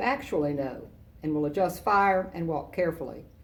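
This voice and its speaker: There is audible room echo as a woman speaks at a moderate pace. Her voice is fairly low, with ordinary pitch variation. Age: 60s. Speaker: retired army general, guest speaker. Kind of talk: commencement speech. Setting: virtual ceremony. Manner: formal.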